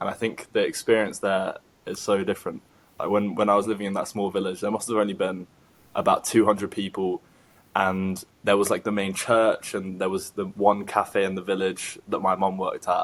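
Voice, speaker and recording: A man with a London accent speaks at a fairly low pitch. His intonation is monotone and flat. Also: fairly quick pace. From London, England. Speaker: podcast host. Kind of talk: casual interview chat.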